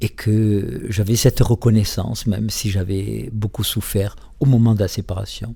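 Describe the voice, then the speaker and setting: A man talks at a fairly slow pace with fairly even intonation. His tone is dark and mellow, and somewhat breathy. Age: 70s. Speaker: author and psychosociologist. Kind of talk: radio interview. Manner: halting.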